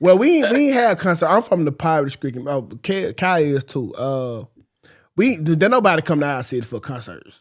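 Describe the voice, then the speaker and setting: A man with an unremarkable speaking voice talks at a fairly quick pace in a fairly high pitch, on a very clean recording with a silent background. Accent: American. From US South, Mississippi Delta. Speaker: morning show host. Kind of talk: casual chat.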